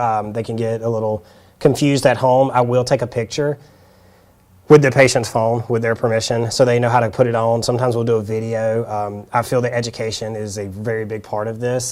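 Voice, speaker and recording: A man's flat, monotone delivery in a Southern US accent, on a very clean recording with a silent background. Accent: Southern US (Georgia). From South Georgia, US South. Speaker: hand therapist. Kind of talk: workshop demonstration. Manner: casual, hesitant with fillers.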